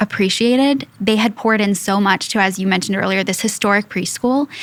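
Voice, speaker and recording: A woman's medium-pitched voice with an American accent and fairly even intonation, on a very clean recording with a silent background. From US Midwest, Indiana. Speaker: school executive. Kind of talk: podcast interview.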